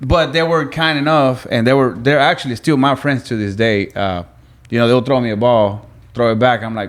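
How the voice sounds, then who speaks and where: The recording is very clean, with a silent background. A man talks at a moderate pace and medium pitch, with ordinary pitch variation. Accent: Spanish. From Venezuela. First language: Spanish. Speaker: guest. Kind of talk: casual chat.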